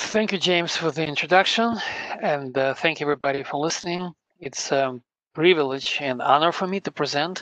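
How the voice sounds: Bright, sharp tone with ordinary pitch variation. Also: man, fairly high pitch for a man, moderate pace.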